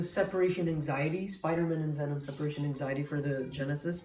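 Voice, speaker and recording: Talking at a fairly quick pace, a woman with a fairly low pitch is heard with audible room echo. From Portugal. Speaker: retro game collector youtuber. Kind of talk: unboxing video. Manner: excited, exclamatory.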